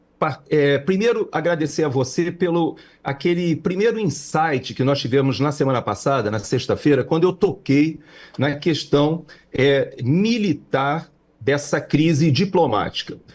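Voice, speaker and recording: On a very clean recording with a silent background, a somewhat breathy man speaks at a fairly slow pace with a fairly high pitch, very even loudness and ordinary pitch variation. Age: 60s. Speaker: political commentator. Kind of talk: political commentary chat. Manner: halting with many fillers.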